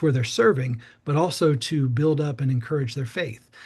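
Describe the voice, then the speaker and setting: A man with an American accent speaks in a fairly high, somewhat breathy voice with ordinary pitch variation. The background is quiet. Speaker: youth pastor. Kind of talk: informational briefing. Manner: fast; casual, many fillers.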